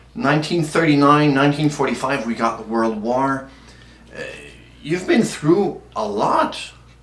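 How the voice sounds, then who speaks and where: A man with a plain, everyday voice speaks at a fairly slow pace. His pitch is fairly high and his intonation is lively. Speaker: community organization interviewer. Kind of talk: interview questions.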